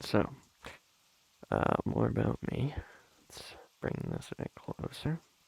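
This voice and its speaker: A soft-spoken man talks very slowly, with long, frequent pauses and big swings in loudness. The sound is dry and close, with no echo. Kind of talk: soft-spoken ASMR ramble.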